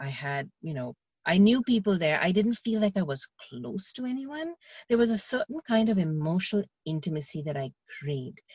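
Somewhat breathy, a woman speaks at a moderate pace and medium pitch, her pitch swinging very widely. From India. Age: 40s. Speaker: video coach and television chef. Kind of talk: podcast interview.

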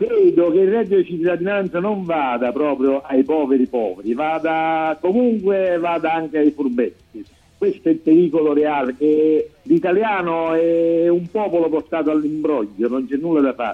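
The speaker uses ordinary pitch variation at a moderate pace. Background music can be heard. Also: man, fairly high pitch for a man. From southern Italy. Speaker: co-host, political commentator. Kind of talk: casual chat.

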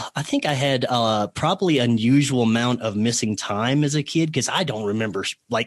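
Speaking with a Southern US accent, a man keeps a moderate pace. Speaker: podcast guest. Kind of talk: casual interview chat. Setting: radio broadcast.

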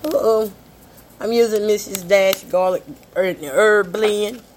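A woman speaks at a very slow pace, her medium pitch showing ordinary variation. Long, frequent pauses break up her speech, and background noise is noticeable. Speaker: podcast host, home cook. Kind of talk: casual cooking chat.

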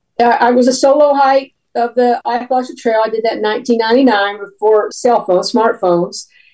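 A woman with a Tennessee accent, fairly high-pitched, at a fairly quick pace with hardly any pauses and ordinary pitch variation. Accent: Southern US, Tennessee. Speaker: author and former park ranger. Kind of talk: interview about book.

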